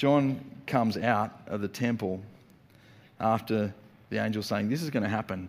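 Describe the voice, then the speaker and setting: A man speaks at a moderate pace with a fairly low pitch and ordinary pitch variation. Long pauses come often. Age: 40s. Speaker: pastor. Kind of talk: sermon. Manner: animated.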